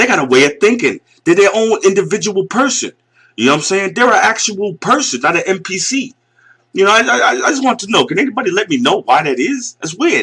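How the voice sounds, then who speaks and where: A man with an American accent speaks in a raised, projected voice at a high pitch and a fairly quick pace. His bright, sharp tone rides very wide pitch swings. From US Northeast. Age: 40s. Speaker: video commentator. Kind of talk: casual rant. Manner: animated.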